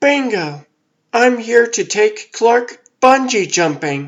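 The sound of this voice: A man uses a put-on character voice at an extremely high pitch. He speaks very slowly, with very wide pitch swings.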